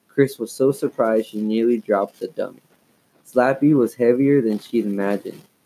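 A natural voice reading aloud, pitch varying in an ordinary way.

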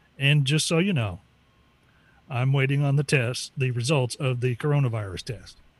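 A man talks at a moderate pace and medium pitch. His voice is somewhat breathy, with ordinary pitch variation. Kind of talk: casual chat.

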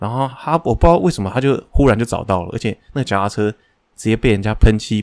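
A man's medium-pitched voice, very fast with hardly any pauses, showing ordinary pitch variation in a dry, close sound with no echo. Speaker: podcast co-host. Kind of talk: casual chat.

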